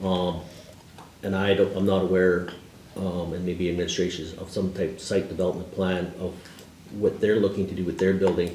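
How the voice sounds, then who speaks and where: Over light background noise and audible room echo, a man with a very deep, low pitch talks at a fairly quick pace. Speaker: deputy mayor, council member. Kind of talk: meeting discussion question. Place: meeting room. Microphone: camera far.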